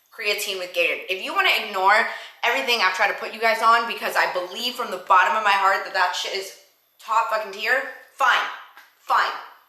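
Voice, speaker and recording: A woman's animated, fairly quick delivery with audible room echo. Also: fairly high pitch for a woman. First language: not English. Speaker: fitness vlogger and bodybuilder. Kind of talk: casual vlog talk to camera. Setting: at home, kitchen.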